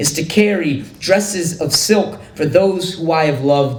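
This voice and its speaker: Against noticeable background noise, a man with a high pitch speaks at a fairly slow pace with ordinary pitch variation. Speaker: poet. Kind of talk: poetry reading.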